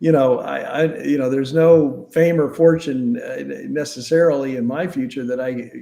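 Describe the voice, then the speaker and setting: This man talks at a moderate pace. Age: 60s. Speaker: attorney. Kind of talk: interview. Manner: halting.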